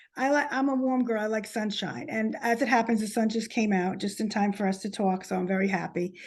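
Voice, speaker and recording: A woman with a New Jersey accent speaks fairly quickly at a fairly high pitch with ordinary pitch variation. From New Jersey, Short Hills. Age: 50s. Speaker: author. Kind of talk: casual interview chat.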